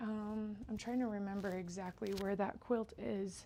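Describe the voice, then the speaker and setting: This woman speaks with a Utah accent. Her pitch sits fairly high. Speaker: quilter. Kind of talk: live stream tutorial. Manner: casual, chatty.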